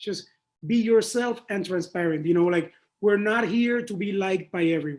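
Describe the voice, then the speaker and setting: Delivered at a moderate pace in a Spanish accent, the animated tone carries ordinary pitch variation. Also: man, high pitch for a man. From Panama. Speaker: creative director. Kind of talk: interview.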